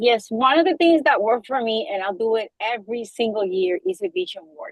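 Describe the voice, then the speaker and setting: A woman with a Spanish accent, fairly high in pitch, with lively intonation. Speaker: real estate agent. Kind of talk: group discussion. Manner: halting.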